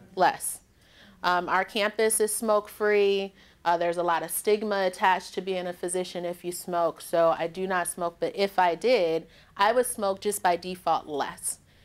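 Using fairly even intonation, a woman with an American accent talks at a moderate pace. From Detroit, Michigan, US; Michigan. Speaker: physician and public health professor; public health professor. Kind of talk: lecture. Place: meeting room.

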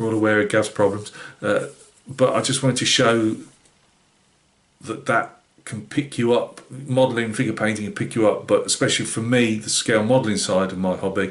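Here a man talks at a moderate pace with fairly even intonation. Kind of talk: casual vlog chat. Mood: relaxed, reflective. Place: home room. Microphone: webcam.

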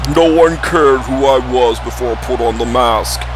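Over loud background noise, a man puts on a character voice at a moderate pace. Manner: menacing.

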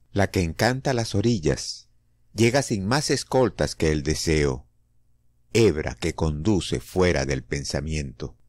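This man speaks at a very slow pace with a very deep, low pitch, vocal fry and very wide pitch swings. The recording is very clean, with a silent background. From Venezuela. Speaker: poetry reader. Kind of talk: poetry reading.

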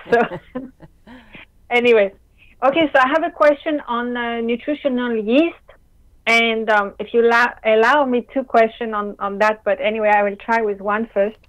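A woman with a French accent speaks at a moderate pace and fairly high pitch, with ordinary pitch variation and long, frequent pauses. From France. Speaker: caller. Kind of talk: Q&A call-in question.

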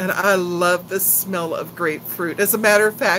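Light background noise under a woman's voice, its pitch varying in an ordinary way. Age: 60s. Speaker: YouTuber. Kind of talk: live stream chat. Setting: home live stream. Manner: animated. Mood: cheerful, chatty. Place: home room. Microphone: phone near.

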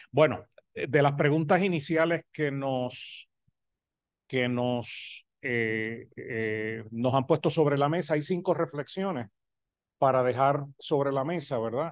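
The speaker has a Puerto Rican accent and a very slow pace, with ordinary pitch variation. The sound is dry with no echo, over a quiet background. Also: man, fairly high pitch for a man. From Puerto Rico. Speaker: professor of health education. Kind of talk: academic presentation. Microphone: video call.

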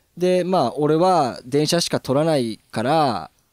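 The recording of this man is very clean with a silent background and a dry, close sound with no echo. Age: 30s. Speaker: videographer and former musician. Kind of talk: casual chat.

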